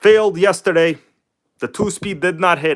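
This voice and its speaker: This man talks at a fairly quick pace. The recording is very clean, with a silent background. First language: not English. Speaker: RC hobby streamer. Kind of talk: live stream tutorial chat. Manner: casual, relaxed.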